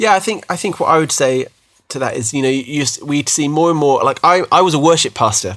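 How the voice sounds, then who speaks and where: This man talks at a very fast pace with a British accent. His intonation is lively. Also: fairly high pitch for a man. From UK. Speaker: podcast host, former worship pastor. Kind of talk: casual chat. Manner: hesitant, repeats words.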